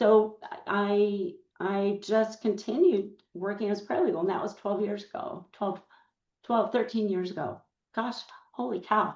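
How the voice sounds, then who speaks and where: A woman's medium-pitched voice with ordinary pitch variation, at a fairly slow pace with long, frequent pauses. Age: 60s. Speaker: paralegal. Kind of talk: podcast interview.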